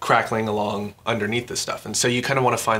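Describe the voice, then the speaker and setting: A man talks at a very fast pace and fairly low pitch in a monotone, flat intonation. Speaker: sound designer. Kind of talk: tutorial. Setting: at home. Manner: soft-spoken; hesitant with fillers.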